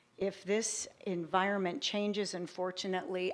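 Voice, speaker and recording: Over a very clean recording with a silent background, a woman speaks at medium pitch and a fairly slow pace in a shaky voice. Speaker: public commenter, tennis player services director. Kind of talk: public comment at council meeting. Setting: city council meeting, public hall. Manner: hesitant.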